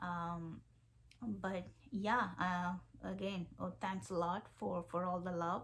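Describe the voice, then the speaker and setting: An Indian accent comes through at a very slow pace. The voice is somewhat breathy. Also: woman. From India, Kerala. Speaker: vlogger, PhD researcher. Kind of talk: casual vlog talk to camera. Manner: halting, many fillers.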